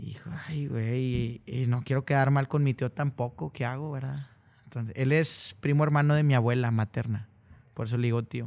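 The speaker is a man keeping to a moderate pace. Fairly even intonation carries through. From Monterrey, northern Mexico; Mexico. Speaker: regional Mexican singer; guest. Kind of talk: casual interview. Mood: relaxed, friendly. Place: studio. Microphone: studio mic.

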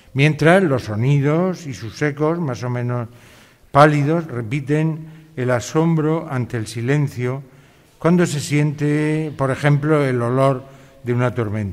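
A man at a fairly high pitch speaks at a very slow pace. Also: ordinary pitch variation. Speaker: literature professor. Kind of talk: lecture. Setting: hall with live audience. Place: hall. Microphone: podium.

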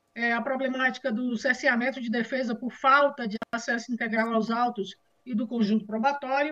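At a moderate pace, a woman speaks with a high pitch and a bright, sharp tone. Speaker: defense lawyer. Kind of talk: court hearing. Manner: formal.

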